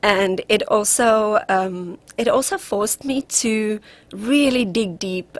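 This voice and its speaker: Recorded very cleanly against a silent background, a woman with a South African accent speaks at a very slow pace with a fairly high pitch and ordinary pitch variation. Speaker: relationship coach. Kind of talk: radio interview.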